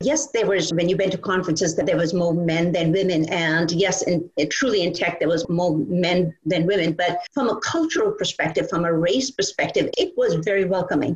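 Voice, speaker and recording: A woman talks at a moderate pace. Her pitch varies in an ordinary way over noticeable background noise. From India, Calcutta. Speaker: tech startup founder. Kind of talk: interview.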